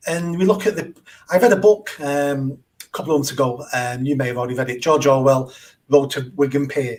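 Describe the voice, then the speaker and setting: The speaker is a man with a Mancunian accent. His voice is somewhat breathy. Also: fairly high pitch for a man, ordinary pitch variation. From northern England, south Manchester. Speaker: charity founder and mayoral candidate. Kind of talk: podcast interview.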